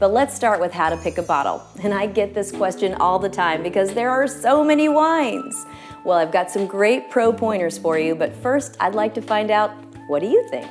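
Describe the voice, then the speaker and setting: Over clear music in the background, a woman speaks at a moderate pace. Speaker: wine expert host. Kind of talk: tutorial. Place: kitchen.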